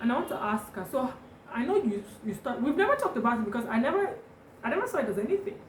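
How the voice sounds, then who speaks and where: A woman speaks very fast at a high pitch, with very wide pitch swings. The recording has audible room echo and noticeable background noise. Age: 20s. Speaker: lifestyle vlogger. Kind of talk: casual chat.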